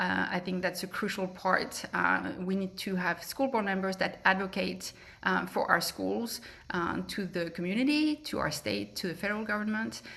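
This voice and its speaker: A woman's bright, sharp voice with a French accent, medium pitch, lively intonation and vocal fry. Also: moderate pace. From France. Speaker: political candidate. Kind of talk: candidate forum speech. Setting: public forum. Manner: hesitant, many fillers.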